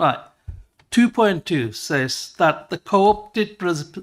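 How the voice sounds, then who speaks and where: The man's intonation is lively, on a very clean recording with a silent background. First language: not English. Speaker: councillor. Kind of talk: council meeting debate. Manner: halting.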